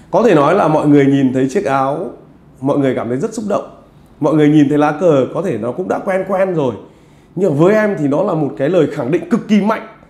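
A man with a dark, mellow tone and a fairly high pitch talks at a fairly quick pace. His intonation is lively, and the room has audible echo. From Vietnam. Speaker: football vlogger interviewer. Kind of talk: interview. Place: home room. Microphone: lapel.

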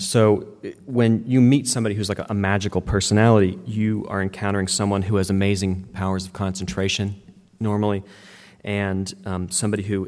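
This man has an ordinary speaking voice with an American accent and a fairly low pitch. He talks at a moderate pace with fairly even intonation. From West Virginia. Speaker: media company co-founder and workshop presenter; presenter. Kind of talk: workshop talk. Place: hall.

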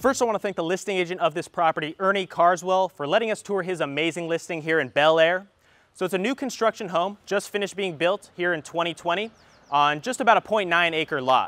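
A man speaks at a fairly quick pace in a high voice, with ordinary pitch variation. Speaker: real estate agent host. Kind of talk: home tour presentation. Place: garden.

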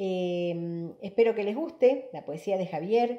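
A woman at a very slow pace, with ordinary pitch variation, a quiet background and audible room echo. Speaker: writer and presenter. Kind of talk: formal introduction of a guest. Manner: halting, hesitant with filler sounds. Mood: warm, smiling. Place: home room. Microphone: webcam.

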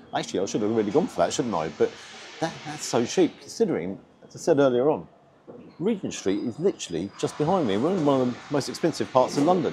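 A man talks extremely quickly over background music. His voice leaps through very wide pitch swings. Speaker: food reviewer. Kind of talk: casual vlog chat. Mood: upbeat, chatty. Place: street. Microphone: lapel.

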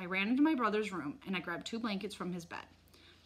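Someone reads aloud here in a natural voice.

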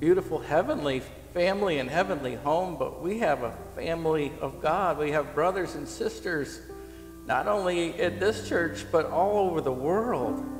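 Faint music plays behind a man whose voice carries audible room echo. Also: moderate pace. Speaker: pastor leading prayer. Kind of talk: prayer. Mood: earnest, soft, reverent. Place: church. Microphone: headset.

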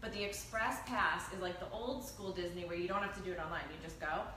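Noticeable background noise runs behind the recording. A woman talks at a fairly quick pace. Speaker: lifestyle video host. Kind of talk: casual chat. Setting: restaurant, live stream. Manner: animated.

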